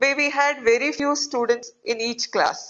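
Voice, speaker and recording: A woman speaks at a fairly slow pace. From India, Mysuru. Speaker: doctor and acid attack survivor. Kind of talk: interview. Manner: soft-spoken; hesitant, many fillers.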